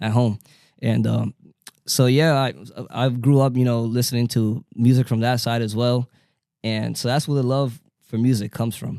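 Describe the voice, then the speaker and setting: Medium-pitched male voice with a Spanish accent, dark and mellow in tone, monotone and flat, at a moderate pace with long, frequent pauses, in a dry, close sound with no echo. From New York, Dominican family. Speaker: DJ. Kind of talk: casual chat. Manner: halting, many fillers.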